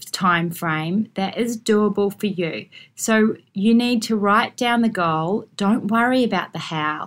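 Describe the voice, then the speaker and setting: On a very clean recording with a silent background, a woman with an Australian accent speaks at a medium pitch. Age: 40s. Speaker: podcast host and lawyer. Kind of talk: solo podcast monologue.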